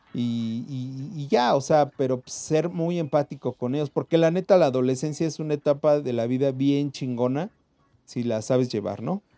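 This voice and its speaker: A man with a Mexican accent speaks at a moderate pace, his tone dark and mellow and his pitch fairly high with ordinary variation. The sound is dry and close with no echo. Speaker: podcast co-host. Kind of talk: casual chat; reading aloud. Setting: recording from home. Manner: excited.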